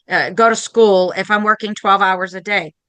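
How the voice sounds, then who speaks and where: A woman speaks at a medium pitch with a bright, sharp tone and monotone, flat intonation. Her pace is moderate, and the background is quiet. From Maine. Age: 50s. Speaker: podcast host and painting teacher. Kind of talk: casual interview chat.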